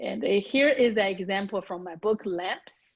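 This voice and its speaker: A woman with a Chinese accent at a fairly slow pace, with ordinary pitch variation. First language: Mandarin Chinese. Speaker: communication strategist and author. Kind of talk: accent coaching session; reading aloud.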